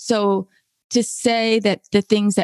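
A woman speaks with a Californian accent, the sound dry and close with no echo. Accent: Californian American. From California (Berkeley). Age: 60s. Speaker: essayist and staff writer. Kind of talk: interview conversation.

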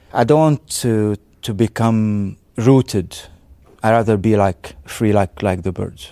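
A man with an Arabic accent, a dark, mellow tone and a fairly low pitch with ordinary variation, at a fairly slow pace. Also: very clean recording, silent background. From Syria, raised in Beirut, Lebanon. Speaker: artist. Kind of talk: interview. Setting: arts space exhibition. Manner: halting, frequent repetitions.

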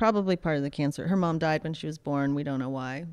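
A woman speaks in an American accent with a very deep, low pitch. The background is quiet. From Pittsburgh, Pennsylvania. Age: 40s. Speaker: surf photographer and filmmaker. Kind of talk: casual interview chat.

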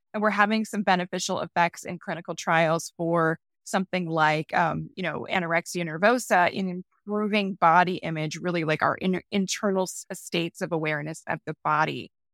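Recorded very cleanly with a silent background and a dry, close sound with no echo, a woman with an unremarkable speaking voice talks at a fairly quick pace, at medium pitch with ordinary pitch variation. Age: 40s. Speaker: science journalist and author. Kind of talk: interview.

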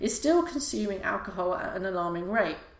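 A woman speaks at a moderate pace with very wide pitch swings. Audible room echo and noticeable background noise fill the recording. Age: 40s. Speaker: podcast host. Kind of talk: casual monologue. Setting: live YouTube broadcast. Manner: hesitant, many fillers.

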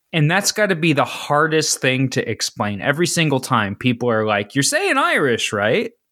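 Speaking at a moderate pace with hardly any pauses, a man with a Midwestern American accent has a fairly high pitch, very wide pitch swings, a bright, sharp tone and very even loudness. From Ohio, east of Cincinnati. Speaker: podcast host. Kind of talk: casual chat.

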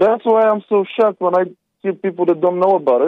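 A very fast, lively-toned delivery with a non-native accent. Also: man. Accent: foreign. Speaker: caller. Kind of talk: phone-in history explanation. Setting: phone call.

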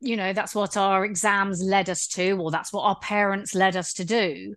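A woman's normal speaking voice at medium pitch and a moderate pace, over a quiet background. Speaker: podcast host. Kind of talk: casual interview chat.

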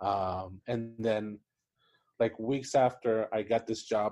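A man's medium-pitched voice, dark and mellow in tone, with a Spanish accent and a quiet background. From Puerto Rico. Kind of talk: casual interview chat. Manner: hesitant, many fillers and repetitions.

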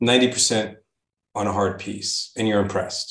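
A man's somewhat breathy, fairly low-pitched voice with fairly even intonation. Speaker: podcast interviewer. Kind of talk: casual interview chat.

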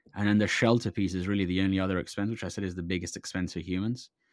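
Fairly even intonation runs through a man's very deep, low-pitched voice. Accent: London. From London, England (born in Iran, moved at five). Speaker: venture investor and software engineer. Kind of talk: casual interview chat. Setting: remote call.

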